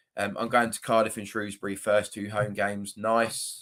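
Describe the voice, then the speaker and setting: On a very clean recording with a silent background, a man in a strong southern English accent speaks with a bright, sharp tone. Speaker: football fan YouTuber. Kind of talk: live stream chat. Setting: live stream. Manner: casual, hesitant with fillers.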